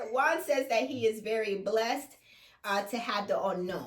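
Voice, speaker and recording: This speaker talks at a fairly slow pace in a Jamaican accent. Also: woman. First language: Jamaican Patois. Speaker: reality TV recap co-host. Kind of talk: casual chat recapping a TV episode.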